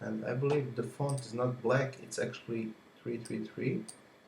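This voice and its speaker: Slowish in pace, a man speaks at a medium pitch with a dark, mellow tone and some vocal fry. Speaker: software reviewer. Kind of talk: tutorial.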